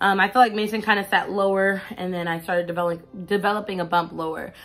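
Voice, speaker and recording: Over background music, a woman speaks very fast at a medium pitch. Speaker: vlogger. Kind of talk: casual video diary. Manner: halting.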